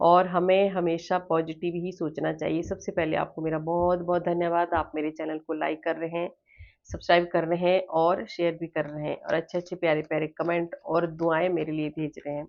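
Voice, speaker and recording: A woman speaks at a fairly slow pace with hardly any pauses. Her intonation is monotone and flat, her pitch fairly low. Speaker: tarot reader. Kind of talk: spiritual tarot reading.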